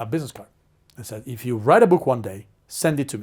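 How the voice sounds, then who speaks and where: A man with an Italian accent speaks at a fairly quick pace in a medium pitch, his voice somewhat breathy. His pitch varies in an ordinary way, and the recording is very clean with a silent background. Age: 40s. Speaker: marketing strategist and author. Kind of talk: interview storytelling. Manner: animated.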